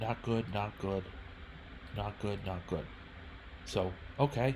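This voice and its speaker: With vocal fry and a fairly low pitch, a man speaks at a very slow pace, his pitch varying in an ordinary way. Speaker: chess streamer. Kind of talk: game review commentary. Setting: live stream. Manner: halting, self-correcting.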